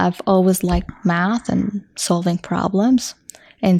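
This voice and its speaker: At a very slow pace, a woman speaks with a medium pitch, a dark, mellow tone and monotone, flat intonation. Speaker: engineer, podcast guest. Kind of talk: casual interview.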